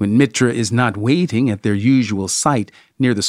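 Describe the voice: What we hear is plain reading aloud. Pitch shifts in an ordinary manner.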